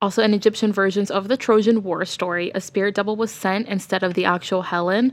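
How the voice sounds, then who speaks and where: Over a silent background on a very clean recording, a woman speaks at medium pitch and a very fast pace, monotone and flat, with hardly any pauses. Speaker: podcast co-host. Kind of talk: casual chat. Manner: laughs often.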